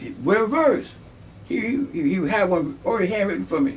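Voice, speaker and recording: In an American accent, a man speaks with lively intonation. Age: 70s. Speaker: army veteran. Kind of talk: interview. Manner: halting.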